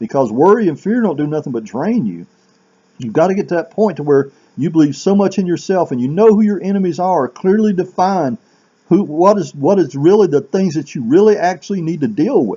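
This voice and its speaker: The delivery moves at a fairly quick pace with lively intonation. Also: man, high pitch for a man. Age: 60s. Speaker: self-help vlogger. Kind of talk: motivational monologue. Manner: halting.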